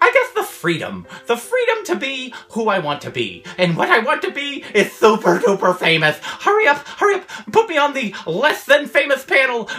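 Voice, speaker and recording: High-pitched cartoonish character voice at a moderate pace. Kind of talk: comedy sketch. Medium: puppet. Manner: upbeat, eager.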